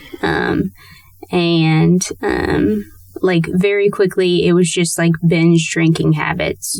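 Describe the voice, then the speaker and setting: Noticeable background noise accompanies a woman who speaks at a very slow pace. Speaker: interview guest sharing recovery story. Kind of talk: testimony. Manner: halting, many fillers.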